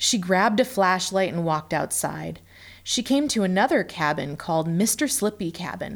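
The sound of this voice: Lively intonation marks an unforced reading voice.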